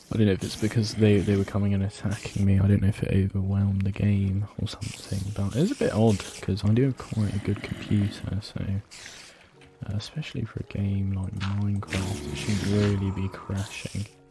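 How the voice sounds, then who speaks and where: Over music in the background, a man with a fairly low pitch talks at a moderate pace with fairly even intonation. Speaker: gaming video creator. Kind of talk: gameplay commentary. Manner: halting, many fillers.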